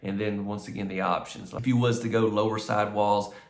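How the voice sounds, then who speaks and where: Speaking with an American accent, a man talks at a fairly quick pace and fairly low pitch, with ordinary pitch variation and audible room echo. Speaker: mobile home tour youtuber. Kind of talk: video home tour. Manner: casual, talkative; hesitant, many fillers.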